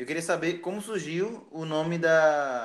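A plain, everyday voice from a man, fairly high in pitch, at a fairly slow pace. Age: 20s. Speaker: podcast host. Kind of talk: casual interview chat.

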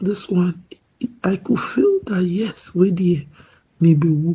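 A woman's somewhat breathy, dark and mellow voice at medium pitch, with ordinary pitch variation and a fairly slow pace. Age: 40s. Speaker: viewer giving testimony. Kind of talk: testimony.

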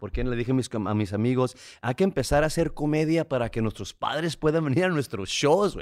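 In a normal speaking voice, a man talks at a fairly quick pace with a fairly high pitch and lively intonation on a very clean recording with a silent background. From Tijuana, Mexico (border). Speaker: comedian and podcast co-host. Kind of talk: casual chat.

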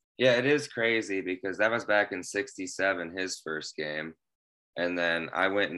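The tone is bright and sharp, with a Midwestern US accent, against a quiet background. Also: man. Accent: US Midwest. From Central Illinois. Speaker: guest fast food fan. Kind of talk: casual chat.

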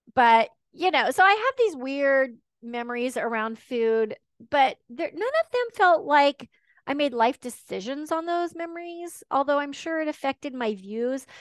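Lively intonation and a fairly slow pace mark this voice with an American accent, recorded dry and close with no echo against a quiet background. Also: woman, high pitch for a woman. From Texas and Washington State. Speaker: ADHD life coach. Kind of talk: podcast interview.

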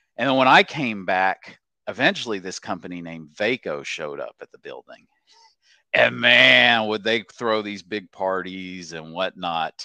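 A man's very deep, low voice with a bright, sharp tone, vocal fry, an American accent, lively intonation and big swings in loudness, dry and close with no echo. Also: moderate pace. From Oklahoma. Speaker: senior software developer. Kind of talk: casual chat. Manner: hesitant, many fillers.

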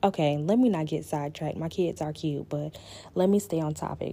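Here a woman speaks with a Southern US accent and a very deep, low pitch. Her tone is dark and mellow, and the recording is very clean with a silent background. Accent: Southern American English. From US South, Florida Panhandle (Panama City). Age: 20s. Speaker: podcast host. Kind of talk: casual solo podcast chat. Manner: animated.

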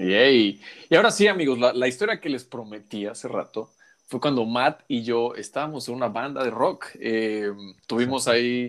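A man speaks at a moderate pace with a medium pitch. He has an ordinary speaking voice and ordinary pitch variation. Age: 30s. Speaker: podcast host. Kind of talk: casual chat.

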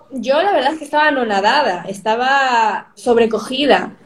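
Over noticeable background noise, a woman with a high voice speaks at a moderate pace and with lively intonation. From Spain (Madrid), born in Peru. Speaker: youtuber. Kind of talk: interview.

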